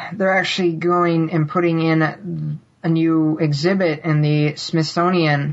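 There is noticeable background noise as a woman speaks with a very deep, low pitch. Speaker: podcast panelist. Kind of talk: casual chat.

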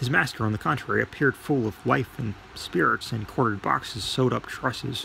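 Reading voice, natural in sound

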